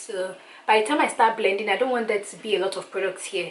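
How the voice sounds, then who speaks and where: Fairly high-pitched female speech with noticeable noise in the background. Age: 20s. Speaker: beauty YouTuber. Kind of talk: makeup tutorial talk to camera. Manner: casual, chatty.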